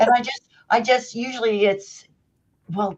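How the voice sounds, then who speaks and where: A woman with an ordinary speaking voice talks with lively intonation. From Canada.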